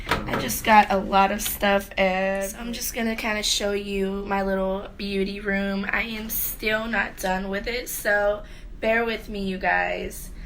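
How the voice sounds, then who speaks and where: A woman at a fairly slow pace, monotone and flat, with audible room echo. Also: medium pitch for a woman. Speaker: beauty vlogger. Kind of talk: casual chat. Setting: home beauty room. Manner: casual, filler-heavy.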